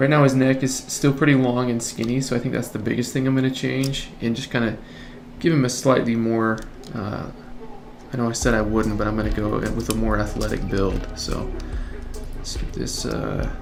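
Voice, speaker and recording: A man talks at a medium pitch and a moderate pace with fairly even intonation. Audible room echo and noticeable background noise come through. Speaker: 3D artist. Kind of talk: tutorial.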